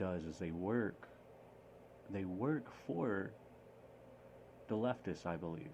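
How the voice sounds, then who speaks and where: A man talks at a moderate pace. His voice is fairly low in pitch, with a dark, mellow tone. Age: 20s. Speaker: podcast host. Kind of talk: casual monologue. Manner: halting; animated.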